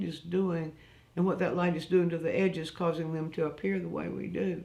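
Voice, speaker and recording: Vocal fry runs through this woman's voice. The room adds audible echo. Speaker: art teacher. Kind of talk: live online art lesson. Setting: live stream. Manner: halting, many fillers and restarts.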